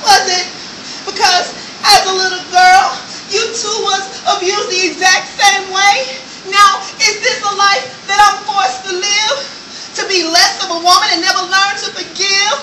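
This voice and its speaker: Amid noticeable background noise, a woman projects a raised voice at an extremely high pitch, with fairly even intonation and a fairly slow pace. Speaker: spoken word artist. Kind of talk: spoken word poetry performance. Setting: live stage performance.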